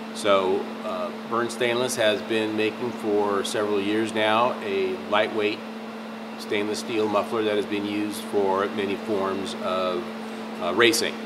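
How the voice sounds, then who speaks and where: A man speaks over noticeable background noise. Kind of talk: product explainer to camera. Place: workshop.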